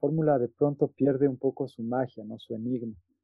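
A fairly high-pitched man at a fairly quick pace. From Quito, Ecuador. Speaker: visual artist and art professor. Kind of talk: interview conversation. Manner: halting, many repetitions.

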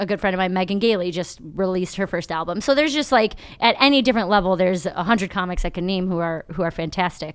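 A woman with a Midwestern American accent talks at a very fast pace and a medium pitch. The recording is very clean, the background silent. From Ohio. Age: 30s. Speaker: comedian. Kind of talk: casual chat. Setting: studio.

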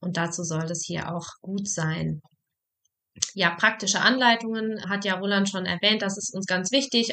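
In a normal speaking voice, a woman talks at a moderate pace and a medium pitch. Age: 20s. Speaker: psychologist and podcast host. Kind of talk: casual chat.

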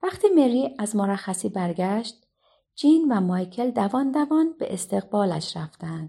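The setting is quiet as an unforced reading voice carries the text.

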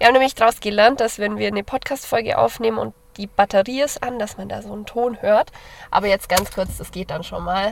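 A woman with a fairly high pitch and vocal fry speaks at a fairly quick pace with fairly even intonation and big swings in loudness. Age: 20s. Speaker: university student, podcast co-host. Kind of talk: casual chat. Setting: in a parked car.

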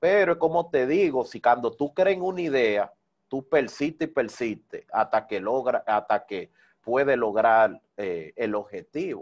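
Against a quiet background, a man with a medium-pitched voice speaks fairly slowly, his pitch swinging very widely. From Dominican Republic, Santo Domingo (Herrera). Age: 30s. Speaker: salsa DJ and radio presenter. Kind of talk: interview.

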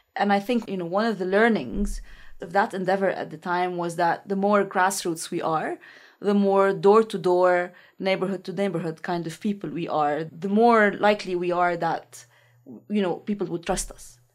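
A woman with a Lebanese accent speaks at a medium pitch and moderate pace, with fairly even intonation and big swings in loudness. The recording is very clean with a silent background. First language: Arabic. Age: 30s. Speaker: researcher and political activist. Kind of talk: interview.

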